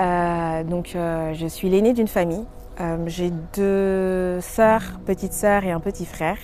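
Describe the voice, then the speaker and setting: Very slowly, a woman speaks in a fairly low pitch with monotone, flat intonation. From Paris, France. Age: 30s. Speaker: testimony speaker. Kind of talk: testimony. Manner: halting, many filler words.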